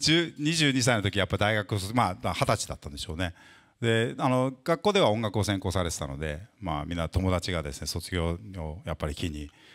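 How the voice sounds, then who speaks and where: Against a quiet background, a man with a very deep, low pitch speaks at a moderate pace with lively intonation. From Japan. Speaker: interviewer and interpreter, guitar company specialist; interviewer. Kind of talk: interview at a live talk event, interpreting. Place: shop. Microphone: handheld.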